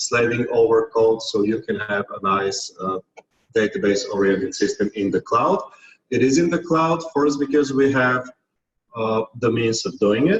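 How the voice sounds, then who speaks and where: Here a man speaks at a medium pitch. His voice is somewhat breathy and his pace moderate. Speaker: technical team leader presenting a platform. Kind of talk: conference tutorial presentation.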